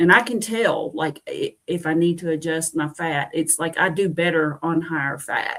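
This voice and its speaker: With an ordinary speaking voice, a woman talks at a moderate pace in a fairly low pitch and fairly even intonation. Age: 50s. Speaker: keto study group member. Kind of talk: casual chat.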